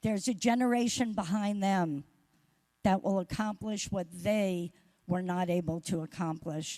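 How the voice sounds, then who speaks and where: Over a silent background in a very clean recording, a woman speaks at a fairly slow pace with a medium pitch and a dark, mellow tone. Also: ordinary pitch variation. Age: 70s. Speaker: award recipient, social work organization leader. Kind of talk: acceptance speech.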